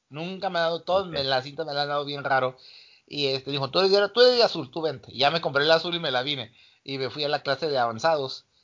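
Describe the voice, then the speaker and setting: Very fast speech comes from a man with fairly high pitch and ordinary pitch variation. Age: 40s. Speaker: martial arts coach. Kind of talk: casual interview.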